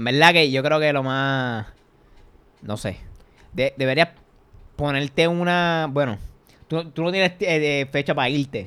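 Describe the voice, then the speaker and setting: Speaking with a Puerto Rican accent, a man with a fairly high pitch and a bright, sharp, animated tone moves at a fairly slow pace, with ordinary pitch variation and long, frequent pauses. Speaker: podcast host. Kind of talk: casual chat.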